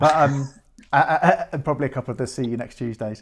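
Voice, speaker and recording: A man with a British accent speaks at a fairly quick pace and a fairly high pitch. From Britain. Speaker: podcast host. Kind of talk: casual chat. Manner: halting.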